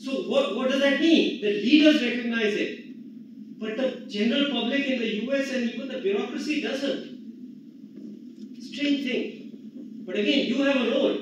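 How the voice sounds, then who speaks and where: An extremely high-pitched man's voice at a moderate pace, with fairly even intonation, audible room echo and noticeable background noise. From India. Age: 70s. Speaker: economist. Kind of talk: conference talk.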